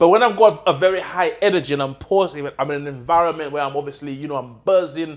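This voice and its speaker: The delivery is very fast and animated, with hardly any pauses. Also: man, fairly high pitch for a man, ordinary pitch variation. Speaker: podcast host and property mentor. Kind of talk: casual interview. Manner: loud, high-energy.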